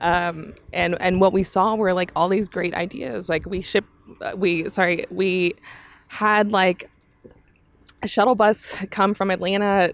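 In an American accent, a woman with an unremarkable speaking voice talks at medium pitch and a fairly slow pace, her intonation fairly even. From Texas. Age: 30s. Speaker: climbing community organizer. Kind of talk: casual chat.

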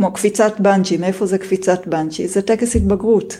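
A woman with a medium-pitched voice speaks in a calm tone with fairly even intonation, with noticeable background noise around her. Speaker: homeschooling mother of four, programmer. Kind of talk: interview guest talk.

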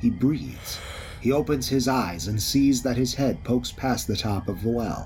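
Intonation is lively and the pace moderate. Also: man. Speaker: dungeon narrator. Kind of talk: fantasy audio drama narration. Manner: dramatic, vivid, brisk action narration with character voices.

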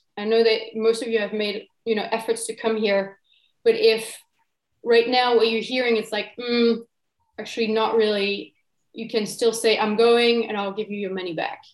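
Her pitch is fairly high and her intonation monotone and flat. This woman speaks at a moderate pace. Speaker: workshop facilitator. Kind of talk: guided workshop talk. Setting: video call.

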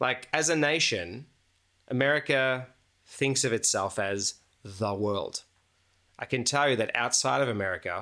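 Speaking with an Australian accent, a man uses a bright, sharp tone at a medium pitch, moving at a moderate pace with ordinary pitch variation. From Melbourne, Australia. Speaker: photographer and composer, host's husband. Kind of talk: casual chat. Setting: at home dining room table.

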